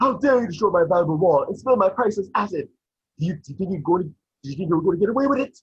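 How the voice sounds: A man's put-on character voice, high-pitched and husky with a rough edge, at a very fast pace with lively intonation.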